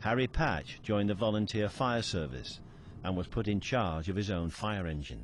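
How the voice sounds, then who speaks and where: A man with a plain, everyday voice speaks at a moderate pace, his fairly low pitch carrying lively intonation. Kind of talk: documentary narration.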